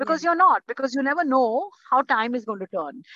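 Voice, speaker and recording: Dry and close with no echo, a woman's raised, projected voice sounds high, bright and sharp, swinging very widely in pitch. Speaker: interior designer. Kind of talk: interview.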